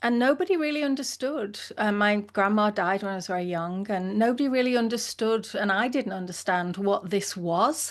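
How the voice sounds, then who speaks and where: A woman with an English accent speaks at a moderate pace over a quiet background. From England. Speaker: leadership consultant and founder. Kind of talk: interview conversation.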